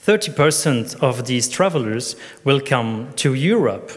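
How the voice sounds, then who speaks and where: Speaking with a non-native accent, a man uses a medium pitch and a fairly slow pace. His voice is somewhat breathy. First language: not English. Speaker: tourism conference speaker. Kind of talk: conference presentation. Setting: conference stage with audience. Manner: partly reading from notes.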